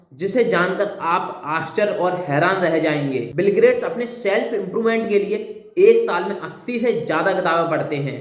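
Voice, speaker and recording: Speaking with hardly any pauses, a man with a high pitch shows ordinary pitch variation, with audible room echo and noticeable background noise behind him. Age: young. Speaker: motivational speaker. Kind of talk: motivational talk.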